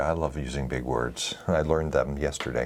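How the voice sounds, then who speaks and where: Soft-spoken and showing vocal fry, a man talks at a moderate pace. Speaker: photography video host. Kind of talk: casual chat. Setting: studio.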